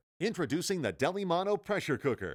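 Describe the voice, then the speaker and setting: A man talks at a moderate pace with vocal fry, in a very clean recording against a silent background. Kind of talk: infomercial voice-over.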